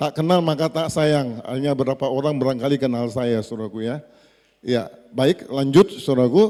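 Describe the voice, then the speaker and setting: Moderate pace from a male speaker with a dark, mellow tone. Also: medium pitch for a man, ordinary pitch variation. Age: 60s. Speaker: pastor. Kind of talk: sermon. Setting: church.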